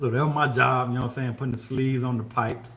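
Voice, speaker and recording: In a relaxed tone, a man talks at medium pitch with monotone, flat intonation. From Mississippi, US South. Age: 50s. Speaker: HVAC contractor and livestreamer. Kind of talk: casual livestream chat answering viewer questions. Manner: relaxed, conversational.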